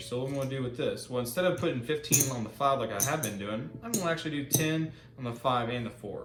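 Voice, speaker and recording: A man speaks very fast at a medium pitch with ordinary pitch variation, with audible room echo and noticeable background noise. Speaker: gambling video host. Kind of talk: casual commentary while playing craps. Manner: animated.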